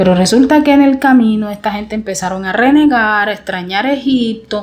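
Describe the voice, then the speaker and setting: Animated and somewhat breathy, a woman speaks at a fairly quick pace in a fairly high pitch with ordinary pitch variation. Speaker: Bible teacher. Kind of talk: informal Bible teaching.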